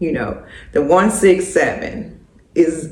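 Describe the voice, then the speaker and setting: A woman's voice with audible room echo. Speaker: lifestyle vlogger. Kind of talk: casual chat. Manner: halting.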